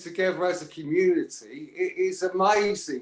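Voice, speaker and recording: Loud and high-pitched, a man speaks at a fairly slow pace. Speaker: caller. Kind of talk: casual chat. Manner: halting.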